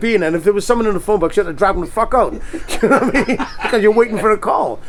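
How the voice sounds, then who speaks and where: Over noticeable background noise, a man with a Welsh accent talks at a very fast pace in a high voice with lively intonation. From Wales. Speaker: rock singer. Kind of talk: interview answer. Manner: casual, lively, swears freely.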